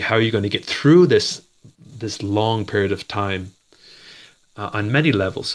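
The speech comes at a fairly quick pace. Pitch varies in an ordinary way. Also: man. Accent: Maritime Canadian. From Canada, Nova Scotia (Dartmouth). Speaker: martial arts instructor and photographer. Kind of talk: interview.

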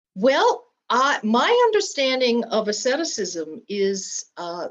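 Speaking very slowly with an American accent, a woman has a fairly high pitch. Her pitch swings very widely. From US, Polish American family. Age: 70s. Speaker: former abbess and retreat leader. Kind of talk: interview.

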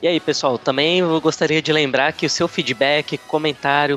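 A man speaks at a moderate pace with a fairly high pitch, in a dry, close sound with no echo. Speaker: airline check-in agent and former reporter. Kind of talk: casual interview as the questioner. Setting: online call.

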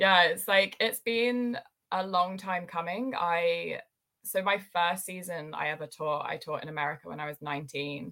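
Speaking with a British accent, a woman has a fairly low pitch and a bright, sharp tone. She talks at a fairly slow pace with ordinary pitch variation. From UK. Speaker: ski instructor. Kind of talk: casual interview chat.

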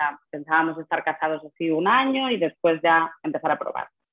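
A woman with a fairly low pitch. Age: 30s. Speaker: secondary school English teacher and mother. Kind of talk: personal testimony in interview. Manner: halting, with frequent repetitions and fillers.

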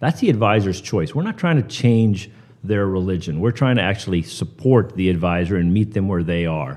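With an American accent, a man speaks at a fairly quick pace in a normal speaking voice, fairly low in pitch, with ordinary pitch variation. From US Northeast (Pearl River, New York). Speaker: finance company CEO. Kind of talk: interview. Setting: live at a conference summit.

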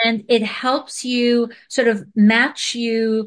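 A woman speaks with a fairly high pitch against a quiet background. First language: not English. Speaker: video marketing expert. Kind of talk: casual interview chat. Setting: video call.

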